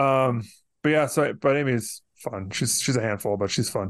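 A man talks at a moderate pace with ordinary pitch variation, an unremarkable speaking voice. The background is quiet. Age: 40s. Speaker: podcast host. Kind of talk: casual chat.

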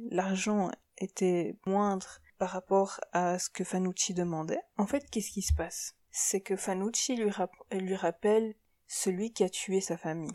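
Speaking very slowly at a medium pitch, a woman's voice carries a dark, mellow tone and fairly even intonation. The recording is very clean with a silent background and a dry, close sound with no echo. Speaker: podcast host, psychology assistant. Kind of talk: scripted commentary. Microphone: poor recording quality.

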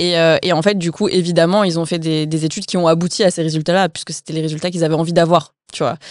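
A woman with a fairly low pitch speaks in a monotone, flat intonation at a very fast pace, with hardly any pauses. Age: 20s. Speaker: author and content creator. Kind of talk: casual interview.

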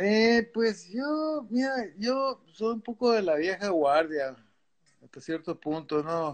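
Very slow speech from a man at a high pitch, with very wide pitch swings and big swings in loudness, over a quiet background. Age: 60s. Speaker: veteran surfer. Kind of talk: casual interview.

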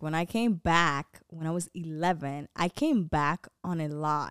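A woman with a plain, everyday voice and an American accent speaks at a fairly slow pace and fairly low pitch, the recording very clean with a silent background and a dry, close sound with no echo. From Dominican Republic and US. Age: 20s. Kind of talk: casual chat. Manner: talkative, laughing.

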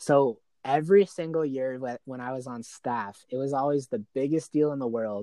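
Against a quiet background, a man with an unremarkable speaking voice and an American accent talks at a moderate pace, his fairly high pitch showing ordinary variation. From Arizona. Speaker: charity worker. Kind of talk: casual chat.

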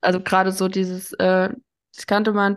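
In a quiet setting, a woman with a medium pitch speaks at a moderate pace. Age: 30s. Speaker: addiction counselor. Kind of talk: casual interview.

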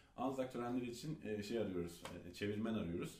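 Over audible room echo, a man with a fairly low, dark, mellow, somewhat breathy voice talks very fast with ordinary pitch variation. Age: 30s. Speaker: author and entrepreneur. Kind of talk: interview.

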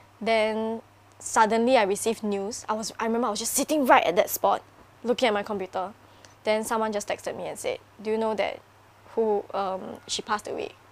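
The voice is a woman's, an ordinary speaking voice with fairly high pitch. She moves at a fairly quick pace with fairly even intonation. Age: 20s. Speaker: YouTuber. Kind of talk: casual chat.

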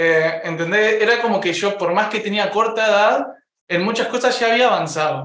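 The man's voice is high-pitched, with ordinary pitch variation and a moderate pace, and there is audible room echo. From Uruguay. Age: 20s. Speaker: content creator. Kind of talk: casual chat.

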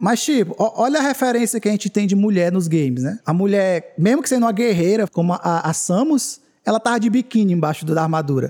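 With lively intonation, a man speaks at a fairly quick pace and high pitch in a very clean recording with a silent background. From Northeast Brazil, Canindé. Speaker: gaming podcast co-host. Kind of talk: casual chat. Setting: livestream.

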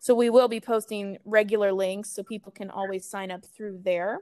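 Speaking at a fairly quick pace in a dry, close sound with no echo, a woman with a Midwestern American accent keeps a medium pitch and fairly even intonation. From US Midwest, Kansas City. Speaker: animal rescue events and marketing coordinator. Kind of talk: interview. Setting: remote recording.

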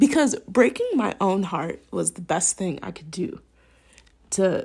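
Somewhat breathy and dark and mellow in tone, the voice has an American accent and very wide pitch swings, captured on a very clean recording with a silent background. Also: woman. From Minnesota. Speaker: podcast host. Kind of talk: personal monologue.

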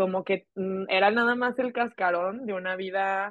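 A woman is speaking. Her intonation stays flat and monotone. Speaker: podcast co-host. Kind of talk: casual chat.

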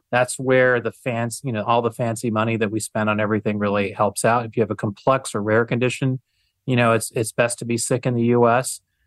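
Medium-pitched male speech in a monotone with flat intonation, dry and close with no echo, in a very clean recording against a silent background. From Michigan, US. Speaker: healthcare policy expert, think tank founder. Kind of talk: casual interview.

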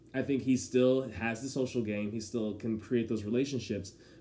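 A man's medium-pitched voice, dark and mellow in tone, with fairly even intonation and audible room echo. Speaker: podcast co-host. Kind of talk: casual chat. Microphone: poor audio environment.

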